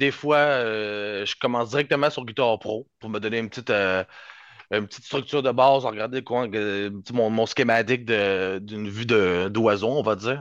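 A man with an ordinary speaking voice talks at a moderate pace. His pitch is medium and his intonation fairly even. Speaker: rhythm guitarist. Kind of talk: casual interview.

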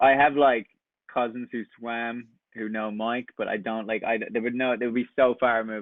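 A man with a west Irish accent speaks with monotone, flat intonation. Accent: Irish, west coast. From west coast of Ireland. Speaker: camp counselor. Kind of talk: casual interview.

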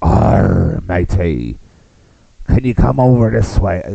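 The speaker uses a put-on character voice with very wide pitch swings at a fairly slow pace. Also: man, very deep, low pitch for a man. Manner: playful, exaggerated.

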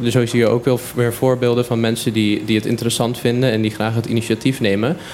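Music plays in the background. A man talks at a moderate pace with a medium pitch. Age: young. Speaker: student. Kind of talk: radio interview. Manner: enthusiastic.

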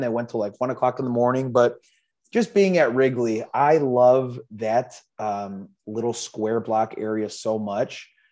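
With an American accent, a man speaks at medium pitch in a dark, mellow tone. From Chicago suburbs. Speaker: baseball fan podcast guest. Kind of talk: casual chat.

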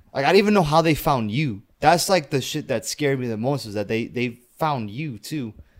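A man with an American accent speaks at a fairly quick pace in an ordinary speaking voice, his fairly high pitch and lively intonation carrying on with hardly any pauses. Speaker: podcast guest. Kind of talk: casual chat.

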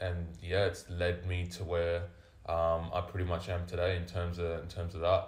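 A man with a very deep, low pitch and a somewhat breathy voice speaks at a moderate pace in a monotone, flat intonation, with audible room echo. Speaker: vertical jump coach. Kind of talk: casual chat.

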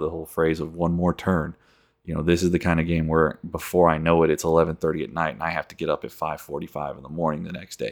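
A man talks at a very fast pace with a very deep, low pitch and big swings in loudness. The recording is very clean, with a silent background. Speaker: gaming podcast host. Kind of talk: casual monologue. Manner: even-keeled, low-key delivery; not audibly excited.

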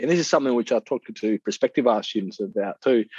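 A man with an Australian accent speaks in a dry, close sound with no echo. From Perth, Western Australia. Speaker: visual artist. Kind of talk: interview.

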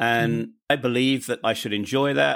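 In a British accent, a man speaks at a fairly slow pace on a very clean recording with a silent background. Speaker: podcaster and expat guest. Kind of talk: interview conversation, telling personal story.

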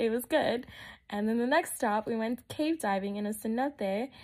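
The recording is very clean, with a silent background. A woman with an American accent speaks at a fairly high pitch. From Texas. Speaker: travel storyteller podcaster. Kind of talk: casual personal storytelling monologue. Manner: hesitant, many fillers.

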